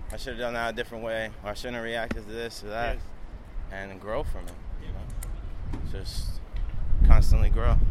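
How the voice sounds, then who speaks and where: A man with a New York accent talks at a moderate pace, leaving long, frequent pauses and swinging widely in loudness. Noticeable background noise and audible room echo fill the recording. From Long Island, New York. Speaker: skateboarder and clothing maker. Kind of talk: casual interview while walking. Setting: outdoors walking city streets.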